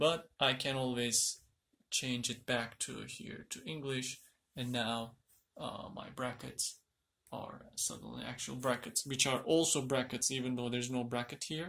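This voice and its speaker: A bright, sharp tone with a Turkish accent, fairly slow and with ordinary pitch variation. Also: man. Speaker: tech YouTuber; product reviewer. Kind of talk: product unboxing tutorial. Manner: halting. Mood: mildly exasperated, joking. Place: home room. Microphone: phone near.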